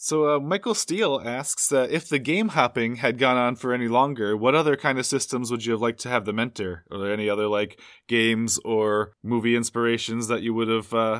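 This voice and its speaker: In an unremarkable speaking voice, a man of medium pitch talks at a fairly quick pace with ordinary pitch variation. He barely pauses, and the recording is very clean with a silent background. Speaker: podcast co-host and editor. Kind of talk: casual interview.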